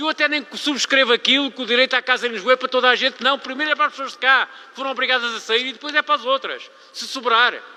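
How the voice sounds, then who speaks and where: A man's extremely high, raised and projected voice, animated and very fast, dry and close with no echo, over noticeable background noise. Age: 70s. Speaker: local politician. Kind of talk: public meeting speech. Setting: public council meeting.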